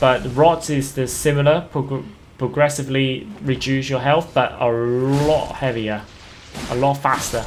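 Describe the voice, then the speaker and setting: This man talks at a fairly slow pace, his pitch fairly high. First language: not English. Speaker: gaming YouTuber. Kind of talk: gameplay commentary. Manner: halting, many fillers and repeats; casual.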